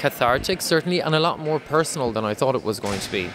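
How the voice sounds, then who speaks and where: Against noticeable background noise, a man with an Irish accent talks at a very fast pace. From west of Ireland. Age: 30s. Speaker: artist. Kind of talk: interview. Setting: art exhibition. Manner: halting, many fillers.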